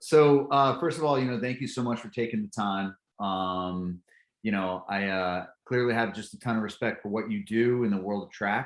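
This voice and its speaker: A man with an American accent speaks at a moderate pace in a normal speaking voice. His pitch sits fairly low, with ordinary variation. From California. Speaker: podcast host. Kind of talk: podcast interview.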